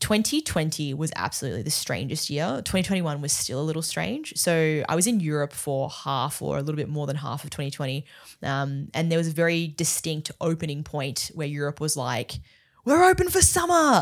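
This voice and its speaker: The speaker has an Australian accent and talks at a fairly quick pace with ordinary pitch variation. The recording is very clean, with a silent background. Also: woman, very deep, low pitch for a woman. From Australia, Melbourne. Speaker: entrepreneur and brand building expert. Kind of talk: casual interview chat. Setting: studio.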